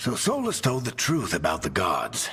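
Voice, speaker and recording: A put-on character voice from a man, medium in pitch. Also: moderate pace. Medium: video game.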